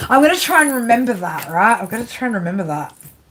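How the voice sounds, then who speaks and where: Noticeable background noise surrounds a woman whose voice sits fairly high. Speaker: tarot reader. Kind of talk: live stream reading with chat. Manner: casual, filler-heavy.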